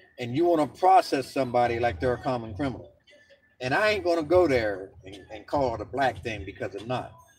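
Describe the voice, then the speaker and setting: With music in the background, a medium-pitched man with an American accent talks at a fairly quick pace with lively intonation and big swings in loudness. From Philadelphia, US. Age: 60s. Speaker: vlogger. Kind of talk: rant. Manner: animated.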